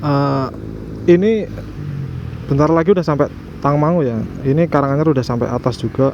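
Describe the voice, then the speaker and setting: A man with a strong Javanese accent and fairly high pitch, talking at a fairly quick pace with long, frequent pauses amid noticeable background noise. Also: ordinary pitch variation. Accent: thick Javanese accent in Indonesian (medok). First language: Javanese (speaking Indonesian). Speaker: motorcycle vlogger. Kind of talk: casual vlog while riding. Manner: halting, many fillers.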